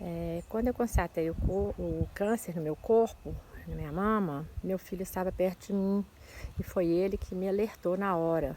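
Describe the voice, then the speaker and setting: This voice belongs to a woman. Her words come out very slowly. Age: 60s. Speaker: breast cancer survivor giving testimony. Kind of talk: testimony.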